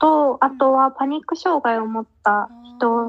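Very slow delivery with fairly even intonation, in a dry, close sound without echo. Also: woman. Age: 20s. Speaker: podcast co-host, counselor. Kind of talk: casual chat.

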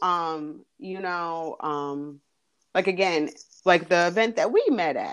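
With an American accent and a normal speaking voice, a woman talks at a fairly slow pace with ordinary pitch variation. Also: fairly low pitch for a woman. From New Jersey. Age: 30s. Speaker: teacher and dancer. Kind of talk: interview.

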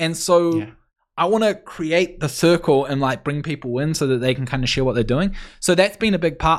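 On a very clean recording with a silent background, a man with a New Zealand accent talks at a fairly quick pace in a fairly high voice with lively intonation. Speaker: freelancer and no-code builder. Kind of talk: interview.

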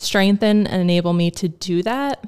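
A woman with an American accent at a fairly slow pace. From New Jersey. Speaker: nurse and homeschooling mother. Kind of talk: casual interview.

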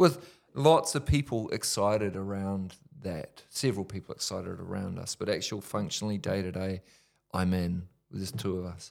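The pitch varies in an ordinary way, in a New Zealand accent. It is a very clean recording, with a silent background. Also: man, fairly low pitch for a man, moderate pace. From New Zealand, Whanganui. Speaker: ministry leader. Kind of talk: testimony. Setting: studio.

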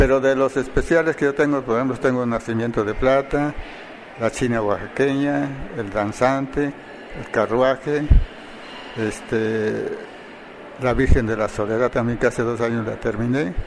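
A man at medium pitch and a fairly slow pace, with fairly even intonation and noticeable background noise. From Oaxaca city, Mexico. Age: 70s. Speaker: silver filigree artisan. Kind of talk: interview.

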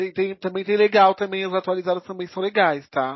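A man with a high pitch. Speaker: podcast co-host. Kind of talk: casual chat.

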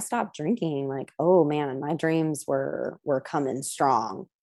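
A woman with a dark, mellow tone talks at a fairly slow pace. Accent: American. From US, central coast of California. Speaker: applied theatre practitioner and tarot reader. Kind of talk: casual interview chat.

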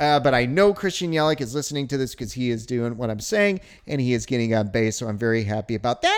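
An animated man with an American accent speaks over noticeable background noise. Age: 40s. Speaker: sports podcast host. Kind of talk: solo sports talk.

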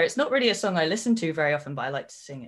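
A woman speaks in a Cornish accent at a fairly low pitch. The background is quiet. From England, Cornwall. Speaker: professional wrestler. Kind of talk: casual chat.

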